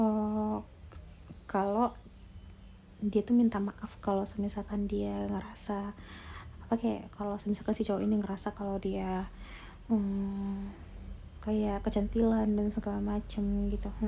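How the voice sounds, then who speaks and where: Her pace fairly slow, a woman is talking. Long pauses come often in her speech. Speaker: ASMR storyteller. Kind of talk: story narration (retelling a sent-in story).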